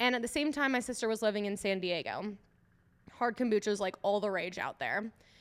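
With an American accent, a woman speaks in an ordinary speaking voice at a fairly high pitch, with ordinary pitch variation. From Minnesota (Eagan, Twin Cities suburb). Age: 20s. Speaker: kombucha company founder. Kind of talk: casual interview. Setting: in a tap room.

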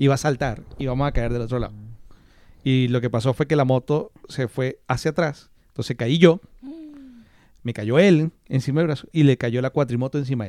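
In a dark, mellow tone with ordinary pitch variation, the speaker leaves long, frequent pauses, and the sound is dry and close with no echo. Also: man, medium pitch for a man, moderate pace, very clean recording, silent background. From Maracaibo, Venezuela. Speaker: podcast co-host. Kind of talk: casual chat.

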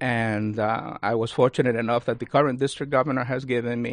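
Very fast pace with monotone, flat intonation. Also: man. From Cuba. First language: Spanish. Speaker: university lecturer and Rotary leader. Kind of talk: radio interview. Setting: studio.

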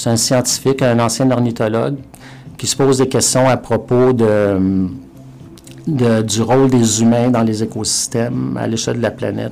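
Music plays in the background as a man at medium pitch speaks at a moderate pace with fairly even intonation. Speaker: professor. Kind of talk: interview. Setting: studio. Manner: halting, with repetitions.

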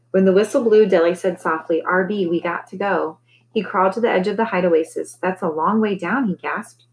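Someone reads in a natural voice whose pitch varies an ordinary amount.

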